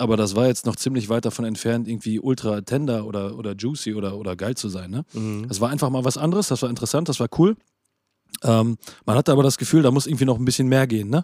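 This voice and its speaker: A man speaks at a very fast pace in a dark, mellow tone with ordinary pitch variation. The recording is very clean, with a silent background. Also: medium pitch for a man. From Germany, Lippe (East Westphalia). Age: 30s. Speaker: food content creator. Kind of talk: casual chat.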